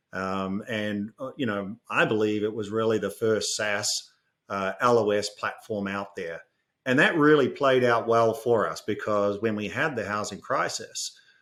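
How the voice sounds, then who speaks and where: On a very clean recording with a silent background, the speaker uses a New Zealand accent and fairly even intonation. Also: man, medium pitch for a man. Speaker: fintech executive. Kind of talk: podcast interview. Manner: hesitant, many fillers.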